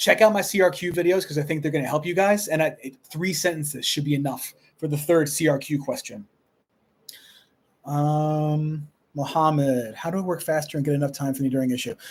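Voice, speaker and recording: This man has an American accent and a somewhat breathy sound. He talks at a fairly quick pace with a fairly high pitch and ordinary pitch variation. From Long Island, New York. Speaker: high school history teacher. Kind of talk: live stream Q&A. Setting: live stream on laptop. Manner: fast.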